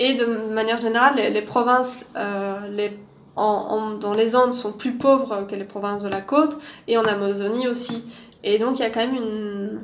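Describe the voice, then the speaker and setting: There is audible room echo and noticeable background noise. A woman with a fairly high pitch speaks at a moderate pace with fairly even intonation. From Belgium, Louvain-la-Neuve. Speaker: archaeologist. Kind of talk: casual interview.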